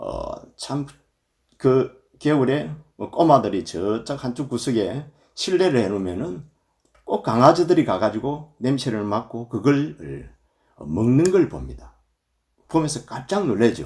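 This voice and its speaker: A man speaks at a very slow pace with long, frequent pauses, his medium pitch showing vocal fry. His pitch swings very widely and his loudness swings by a lot. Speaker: Buddhist monk, temple abbot. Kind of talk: dharma talk. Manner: filler 'eo' pauses.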